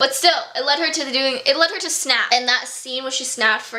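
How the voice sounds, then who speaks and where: A woman's raised, projected voice at a high pitch, with audible room echo and noticeable background noise. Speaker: book reviewer. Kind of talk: casual review vlog. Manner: animated.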